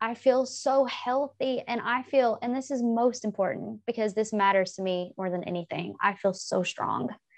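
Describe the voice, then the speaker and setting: A woman with an American accent talks at a moderate pace, with hardly any pauses. Hers is a plain, everyday voice, fairly high in pitch, with ordinary pitch variation. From US South. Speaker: English professor. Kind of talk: casual interview.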